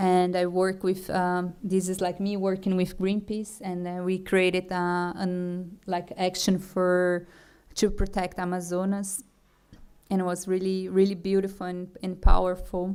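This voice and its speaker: A woman speaks at a medium pitch in a monotone, flat way, at a fairly slow pace. The recording is very clean, with a silent background. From Brazil. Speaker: food artist and festival director. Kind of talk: conference talk. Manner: halting, many fillers and restarts.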